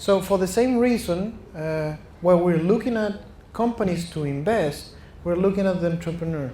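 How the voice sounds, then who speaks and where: A high-pitched man with a Chilean Spanish accent, lively intonation and a dark, mellow tone, in audible room echo. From Chile (Santiago). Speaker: venture capital investor. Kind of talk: fireside chat interview. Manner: halting, with false starts.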